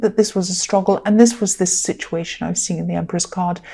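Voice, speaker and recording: The woman sounds somewhat breathy. Her pitch varies in an ordinary way. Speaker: tarot reader. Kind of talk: tarot reading. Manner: casual, hesitant with fillers.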